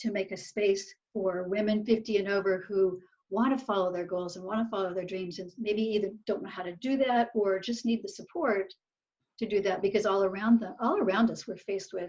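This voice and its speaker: A woman talks in a plain, everyday voice at medium pitch. She keeps a moderate pace and fairly even intonation. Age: 60s. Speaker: researcher and coach for older women. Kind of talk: interview.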